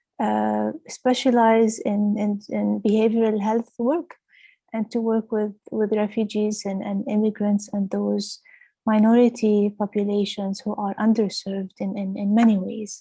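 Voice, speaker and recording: The speaker's voice is somewhat breathy, with monotone, flat intonation and a fairly slow pace. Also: woman, fairly high pitch for a woman. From Lebanon. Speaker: clinical director. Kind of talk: webinar presentation. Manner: hesitant, many fillers.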